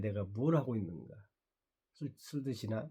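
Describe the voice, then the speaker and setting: The voice has a dark, mellow tone and is somewhat breathy. Its pitch variation is ordinary. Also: man. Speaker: vlogger, channel owner. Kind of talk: casual monologue vlog. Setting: morning video diary.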